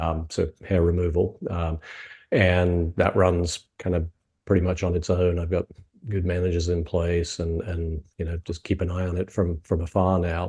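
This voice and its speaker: Against a quiet background, a man with a British accent speaks at a moderate pace in a very deep, low voice, dark and mellow in tone, somewhat breathy and monotone, with flat intonation. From UK. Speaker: franchise consultant. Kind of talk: interview. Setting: video call.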